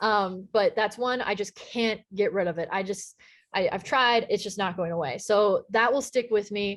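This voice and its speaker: The background stays quiet. A woman talks in an American accent. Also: medium pitch for a woman, ordinary pitch variation, moderate pace. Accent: slight Texan accent, toned down. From Texas. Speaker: sports play-by-play broadcaster. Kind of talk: casual interview chat.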